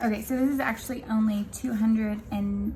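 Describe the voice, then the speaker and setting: Noticeable background noise sits behind this woman's speech. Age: 20s. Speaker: budgeting vlogger. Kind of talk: casual tutorial. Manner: hesitant with many fillers.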